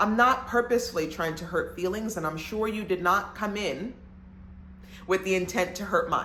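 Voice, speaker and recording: A woman with an American accent has a medium pitch and an animated tone. Room echo is audible. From Brooklyn, New York. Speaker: podcast host. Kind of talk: monologue podcast. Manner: lowers voice for connection.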